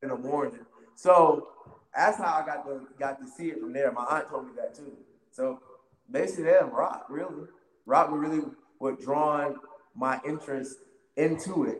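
Using an American accent, a man with a fairly high pitch speaks at a moderate pace with ordinary pitch variation, long, frequent pauses, and big swings in loudness. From US South, Wilmington, North Carolina. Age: 30s. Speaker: professional wrestler. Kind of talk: casual interview. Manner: animated.

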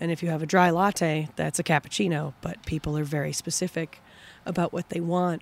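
A woman with an American accent and a fairly low pitch talks at a fairly quick pace in a monotone, flat way, the sound dry and close with no echo. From Minnesota, US Midwest. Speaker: professional disc golfer. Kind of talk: casual interview chat.

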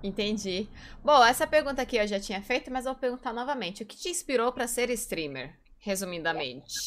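A woman's fairly high-pitched voice with vocal fry, very wide pitch swings, big swings in loudness and a fairly quick pace. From Brazil, São Paulo. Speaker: streamer and interview host. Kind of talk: casual interview chat.

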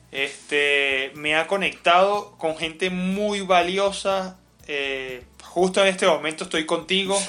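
Talking at a very slow pace, a man uses a bright, sharp tone at high pitch with ordinary pitch variation. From Caracas, Venezuela. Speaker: entrepreneur, coworking space founder. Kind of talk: interview conversation.

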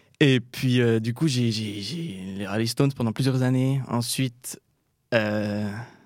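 A man speaks at medium pitch with ordinary pitch variation. The recording is very clean, with a silent background. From Switzerland, Jura. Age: 20s. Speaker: student musician. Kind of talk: interview. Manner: halting, many hesitations.

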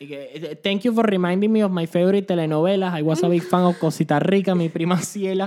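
With hardly any pauses, a man talks at a fairly quick pace and a high pitch, his loudness swinging widely. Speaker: podcast co-host. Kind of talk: casual chat. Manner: animated.

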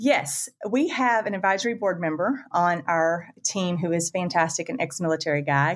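A woman with a Southern US accent speaks at a moderate pace with hardly any pauses. Her intonation is lively, and the recording is very clean with a silent background. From US South, Florida panhandle. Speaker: construction 3D printing executive. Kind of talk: casual interview chat.

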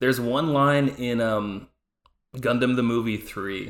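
A man with a normal speaking voice, medium pitch and fairly even intonation. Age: 30s. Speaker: podcast guest, anime fan. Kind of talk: casual chat.

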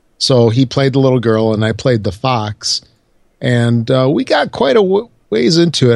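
A man speaks at a moderate pace. He has an American accent. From Chicago, US Midwest. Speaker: podcast co-host. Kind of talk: casual chat.

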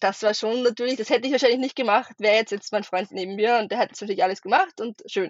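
A woman in an Austrian accent speaks at a fairly high pitch with ordinary pitch variation. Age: 20s. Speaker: travel content creator. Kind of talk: podcast interview. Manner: hesitant, many fillers.

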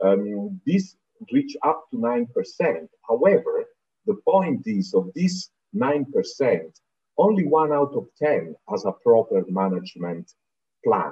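A man speaks very slowly with an Italian accent, pausing long and often. The sound is dry and close, with no echo. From southern Italy, Naples. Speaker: UN environment official. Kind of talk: interview.

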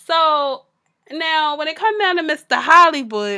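In a very clean recording with a silent background, a woman speaks in a raised, projected voice. Her tone is bright and sharp, and her pace fairly slow. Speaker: podcast co-host. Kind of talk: casual chat.

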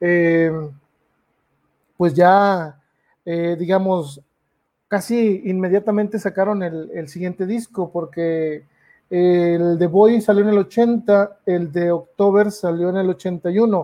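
Very slow in pace, a man speaks at a high pitch with fairly even intonation. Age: 30s. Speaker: podcast host. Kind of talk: casual live-stream talk about music. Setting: live video stream. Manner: hesitant, many fillers.

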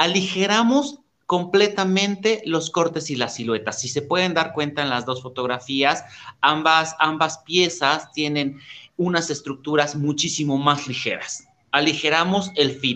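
A man with a fairly high pitch and a bright, sharp tone speaks fairly slowly, using ordinary pitch variation. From Mexico, Oaxaca (born Tehuacán, Puebla). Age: 40s. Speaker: menswear fashion designer. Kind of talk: interview.

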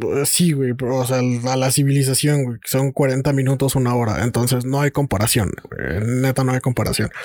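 Over noticeable background noise, a man with a medium pitch speaks at a moderate pace, with fairly even intonation and hardly any pauses. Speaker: podcast host. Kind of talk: casual chat.

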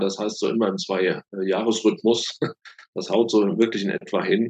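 Fairly slow delivery from a male voice pitched in the medium range, its pitch varying in an ordinary way. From Rheinhessen, Germany. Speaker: thriller author and career coach. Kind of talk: interview. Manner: hesitant, many fillers.

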